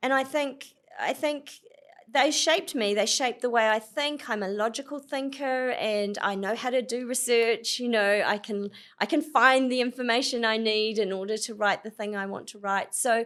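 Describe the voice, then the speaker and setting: A woman with a New Zealand accent, fairly high in pitch, at a moderate pace with ordinary pitch variation, in a very clean recording against a silent background. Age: 50s. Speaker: author. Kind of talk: interview conversation. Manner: animated.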